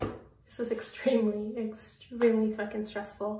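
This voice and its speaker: Somewhat breathy and fairly high in pitch, a woman speaks at a fairly slow pace with fairly even intonation amid audible room echo. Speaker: vlogger. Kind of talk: casual vlog. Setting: at home.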